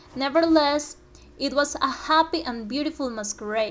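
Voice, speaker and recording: A woman's high-pitched voice. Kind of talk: storytelling reading.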